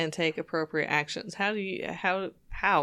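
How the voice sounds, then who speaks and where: The woman's pitch is fairly low. She speaks at a fairly slow pace with fairly even intonation. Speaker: podcast co-host. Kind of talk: casual podcast chat.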